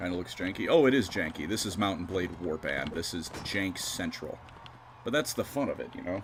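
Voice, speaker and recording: A man talks at a fairly quick pace with lively intonation. His voice is very deep, low and somewhat breathy. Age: 20s. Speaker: gaming streamer. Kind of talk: live gameplay stream chat.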